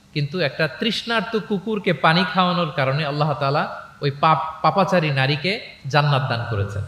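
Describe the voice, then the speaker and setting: A normal speaking voice with lively intonation. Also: man. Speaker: Islamic preacher. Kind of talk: religious lecture to a live audience.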